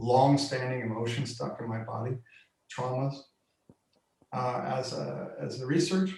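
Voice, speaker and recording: Fairly even in intonation, a man speaks at a moderate pace and medium pitch. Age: 60s. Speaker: workshop facilitator. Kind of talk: interview on video call. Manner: halting, many fillers.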